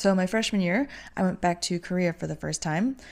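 On a very clean recording with a silent background, a woman with an American accent uses a normal speaking voice at a fairly low pitch. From US Midwest. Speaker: podcast host, travel agent and digital nomad. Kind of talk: casual solo podcast monologue.

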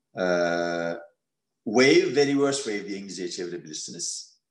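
A man at a moderate pace. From Turkey, Istanbul. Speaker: economist. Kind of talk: interview.

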